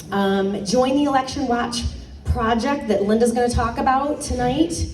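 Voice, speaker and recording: A woman speaks in a high voice with ordinary pitch variation. Music plays behind her, and the room echo is audible. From Michigan. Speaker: political candidate, former high school teacher. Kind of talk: campaign speech at a community meeting. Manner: casual, many fillers.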